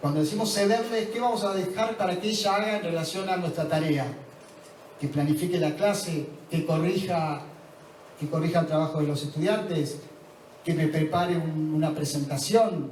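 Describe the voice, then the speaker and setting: Noticeable background noise and audible room echo surround a man speaking at a moderate pace in a high pitch. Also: ordinary pitch variation. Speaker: conference speaker on education. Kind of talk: lecture.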